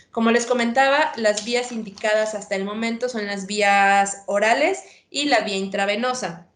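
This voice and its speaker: With an unremarkable speaking voice, a woman talks fairly slowly at a fairly high pitch with ordinary pitch variation. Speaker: veterinarian. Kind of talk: lecture.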